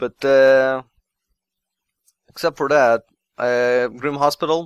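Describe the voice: Slowly and with fairly even intonation, a man speaks in a clear, smooth tone. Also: medium pitch for a man.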